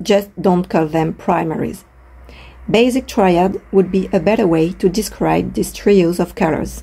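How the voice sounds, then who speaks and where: A woman with a French accent speaks at a fairly slow pace in a fairly low voice, her pitch varying in an ordinary way. Her tone is dark and mellow, with vocal fry. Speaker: art educator. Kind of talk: educational talk to camera.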